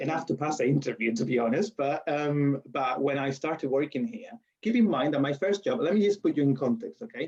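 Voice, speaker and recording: Speaking at a fairly quick pace with a strong Spanish accent, a man has a fairly high pitch and lively intonation. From Spain. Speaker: university lecturer. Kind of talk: interview. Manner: halting.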